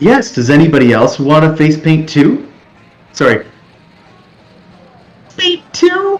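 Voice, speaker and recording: In a put-on character voice at a middle pitch, the speaker goes at a fairly slow pace with long, frequent pauses. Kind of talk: comic overacting. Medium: actual play. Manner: bubbly, enthusiastic; weary, exasperated.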